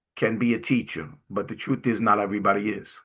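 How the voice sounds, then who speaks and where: This man's medium-pitched voice moves along fairly quickly. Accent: Brooklyn. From Brooklyn, New York. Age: 60s. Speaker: Navy veteran and inspirational speaker. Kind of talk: testimony. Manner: casual storytelling with hesitations.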